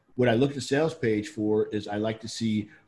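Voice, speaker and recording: In a very clean recording with a silent background, a man speaks at medium pitch. His voice is somewhat breathy, with ordinary pitch variation and a moderate pace. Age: 50s. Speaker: affiliate marketer and web developer. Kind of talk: casual chat.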